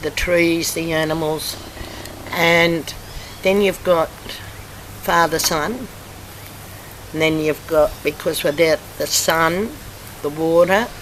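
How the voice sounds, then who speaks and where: Amid noticeable background noise, a woman talks with fairly even intonation and long, frequent pauses. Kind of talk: interview answer.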